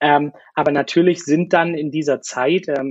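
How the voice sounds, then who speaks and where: A man with a fairly high pitch and fairly even intonation has an ordinary speaking voice. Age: 20s. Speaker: former cruise ship worker. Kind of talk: interview. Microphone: crackling microphone, poor sound quality.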